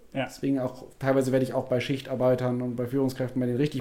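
A man at medium pitch talking at a very fast pace over noticeable background noise. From Germany, Wuppertal. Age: 30s. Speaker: keynote speaker on nutrition and health psychology. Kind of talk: casual interview.

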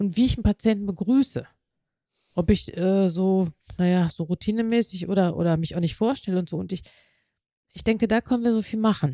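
A woman talks at a fairly quick pace and medium pitch, in a dark, mellow tone with ordinary pitch variation. She makes long, frequent pauses. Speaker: nurse and nursing development specialist. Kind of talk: interview. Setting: on-site recording in a hospital.

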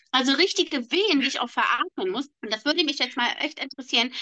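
A raised, projected voice with a bright, sharp tone and lively intonation comes through in a dry, close sound with no echo. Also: woman. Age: 30s. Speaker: podcast co-host. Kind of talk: casual chat.

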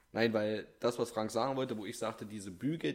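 Fairly quick speech from a man at medium pitch with ordinary pitch variation. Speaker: podcast co-host. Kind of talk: casual chat.

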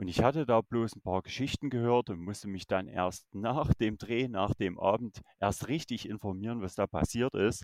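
With a Saxon accent, a man talks at a moderate pace in a fairly low pitch, hardly pausing, against a quiet background. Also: ordinary pitch variation, dry, close sound with no echo. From Saxony, Germany. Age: 30s. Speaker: YouTuber exploring abandoned places and the paranormal. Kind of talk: casual chat.

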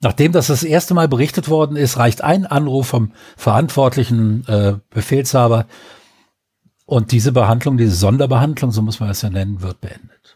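A man's medium-pitched, somewhat breathy voice with a dark, mellow tone and ordinary pitch variation. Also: moderate pace. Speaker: podcast co-host. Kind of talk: casual chat.

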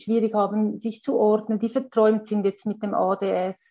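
A woman speaks in a dark, mellow tone with flat, monotone intonation. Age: 40s. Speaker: primary school teacher and parent. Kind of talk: interview. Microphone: poor sound quality, especially early on.

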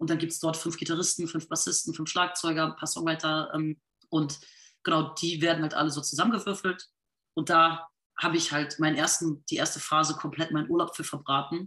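A bright, sharp voice moves at a fairly quick pace in a monotone, flat intonation against a quiet background. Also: woman, fairly low pitch for a woman. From rural Lower Saxony, northern Germany. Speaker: singer and musician. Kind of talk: interview.

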